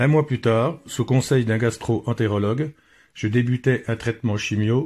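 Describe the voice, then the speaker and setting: Somewhat breathy, the voice moves at a fairly slow pace with ordinary pitch variation, on a very clean recording with a silent background. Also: man. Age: 60s. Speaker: cancer patient. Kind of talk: testimony.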